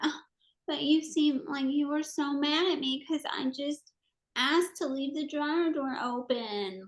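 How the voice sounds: In a put-on character voice, a woman speaks high and whiny, with a whiny tone, at a moderate pace.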